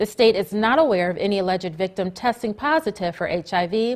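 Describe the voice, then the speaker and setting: A woman with an unremarkable speaking voice talks at a medium pitch and a fairly quick pace. Her intonation is lively, and the recording is very clean with a silent background. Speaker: reporter and news anchor. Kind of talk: TV studio newscast read.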